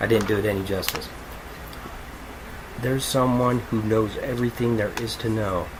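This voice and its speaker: Amid audible room echo and noticeable background noise, a man talks at a moderate pace and medium pitch. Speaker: podcast host, music reviewer. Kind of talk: casual album review monologue. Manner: animated; loud.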